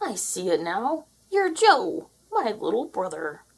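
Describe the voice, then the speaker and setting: A woman puts on a character voice, high-pitched and fairly slow, her pitch swinging very widely. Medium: read story. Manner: bossy, gruff.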